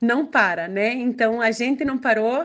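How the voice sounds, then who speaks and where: A woman's fairly slow speech is set against a quiet background. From Brazil, Curitiba (Paraná). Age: 40s. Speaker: education advisor. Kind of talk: interview.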